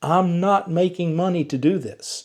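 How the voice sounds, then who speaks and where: This man's voice has a dark, mellow tone and a slight Southern US accent. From US South, Georgia. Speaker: EV YouTuber. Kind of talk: vlog monologue to viewers.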